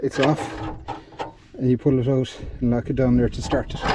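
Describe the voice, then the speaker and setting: A man talks at a very fast pace. The sound is dry with no echo, though background noise is noticeable. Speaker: mechanic restoring an old tractor. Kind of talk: commentary. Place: farm machine. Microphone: phone near.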